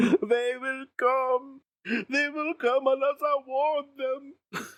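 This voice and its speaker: At a very slow pace, a man uses a put-on character voice with an extremely high pitch. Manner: overwhelmed, emotional, voice rising.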